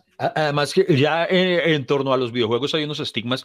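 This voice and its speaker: With a Colombian accent, a man speaks in lively intonation, captured in a dry, close sound with no echo. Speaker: comedian. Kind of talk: casual chat.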